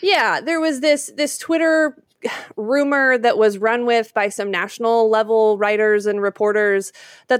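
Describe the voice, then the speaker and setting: A woman with a fairly high voice talks in a normal speaking voice with an American accent and ordinary pitch variation. The recording is very clean, with a silent background. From Utah, Salt Lake City. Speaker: sports broadcaster and podcaster. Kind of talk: casual interview.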